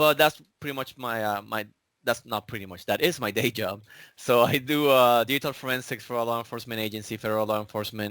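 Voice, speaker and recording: A man with a Spanish accent at a very fast pace, fairly even in intonation, on a very clean recording with a silent background. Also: medium pitch for a man. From Puerto Rico. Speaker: digital forensics examiner. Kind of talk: casual interview.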